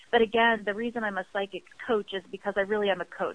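This is an ordinary speaking voice with an American accent. It moves at a fairly quick pace with fairly even intonation. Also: woman. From US East Coast, Baltimore. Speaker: clairvoyant business coach. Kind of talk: interview.

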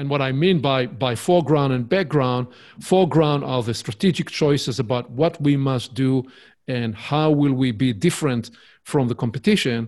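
A man's medium-pitched voice at a moderate pace, with ordinary pitch variation, recorded very cleanly against a silent background. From Israel. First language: Hebrew. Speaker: author and business consultant. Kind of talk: casual interview.

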